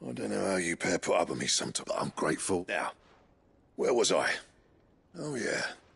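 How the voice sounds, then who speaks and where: In a raspy, put-on character voice, a man speaks at a fairly quick pace broken by long, frequent pauses. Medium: short film. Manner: gruff.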